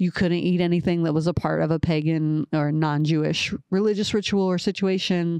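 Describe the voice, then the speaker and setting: A woman with an American accent, fairly low in pitch, with a dark, mellow tone, fairly even intonation, very even loudness and hardly any pauses. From Ohio (Columbus). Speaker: podcast co-host. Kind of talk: casual chat about the Bible.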